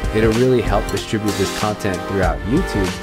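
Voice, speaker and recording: Clear music plays in the background. A man is speaking over it. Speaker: travel vlogger. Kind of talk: casual vlog chat. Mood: upbeat, smiling. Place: home room.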